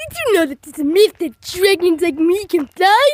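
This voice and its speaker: A cartoonish character voice at an extremely high pitch. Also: moderate pace. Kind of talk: puppet video talk to camera. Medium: puppet.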